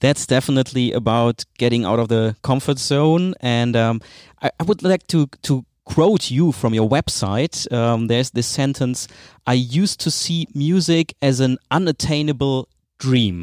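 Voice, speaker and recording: A man with a German accent speaks fairly slowly at a medium pitch with very even loudness. The recording is very clean and dry, close and free of echo, with a silent background. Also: ordinary pitch variation. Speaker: podcast host. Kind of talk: interview.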